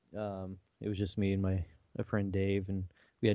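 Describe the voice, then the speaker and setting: Very fast speech from a man with an American accent, fairly low in pitch. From Missouri. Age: 40s. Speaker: IT worker, musician and podcast co-host. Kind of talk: casual chat.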